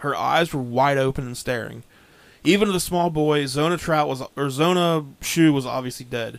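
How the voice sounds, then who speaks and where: An American-accented man with a fairly high pitch, an unremarkable speaking voice, ordinary pitch variation and a moderate pace, on a very clean recording with a silent background. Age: 30s. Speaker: podcast host. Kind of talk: storytelling narration from research notes.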